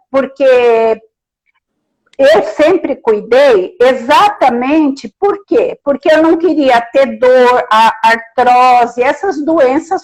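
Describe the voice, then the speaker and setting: A very slow pace with lively intonation. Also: woman. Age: 70s. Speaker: therapy client. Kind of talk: testimony. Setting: Instagram live.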